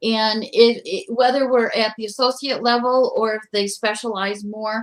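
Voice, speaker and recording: With a plain, everyday voice, a woman speaks at a moderate pace and a fairly high pitch, her intonation fairly even. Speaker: community college educator. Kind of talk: panel discussion.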